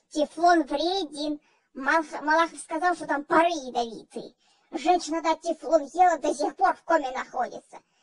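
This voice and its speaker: At a moderate pace, a female-sounding put-on character voice speaks at an extremely high pitch for a woman. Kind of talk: comedy sketch. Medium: role play. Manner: fussy, agitated.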